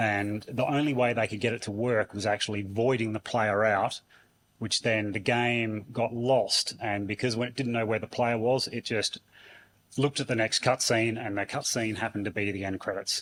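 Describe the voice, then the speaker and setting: On a very clean recording with a silent background, a man of medium pitch talks at a moderate pace in a monotone, flat intonation. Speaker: conference speaker. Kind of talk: conference talk. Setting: stage with audience.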